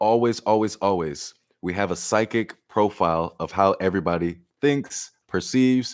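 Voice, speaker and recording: Over a very clean recording with a silent background, a man talks in a normal speaking voice at a fairly low pitch. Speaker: tarot reader. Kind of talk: live-stream tarot reading.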